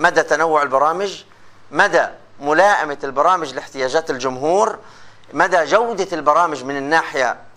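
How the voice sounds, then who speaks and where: This man has an unremarkable speaking voice at a fairly high pitch. He talks at a moderate pace with ordinary pitch variation. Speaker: lecturer in radio and TV journalism. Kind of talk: lecture. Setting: classroom with students. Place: classroom.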